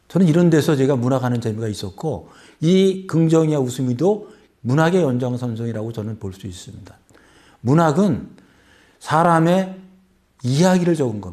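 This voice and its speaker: With long, frequent pauses, a man speaks with big swings in loudness and very wide pitch swings. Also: fairly high pitch for a man, moderate pace. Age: 60s. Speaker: author. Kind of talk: interview.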